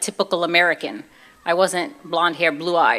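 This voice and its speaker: A woman with a Brooklyn accent speaks at a moderate pace. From US Northeast, Brooklyn, New York. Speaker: convert giving her testimony. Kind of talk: testimony. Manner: casual, conversational.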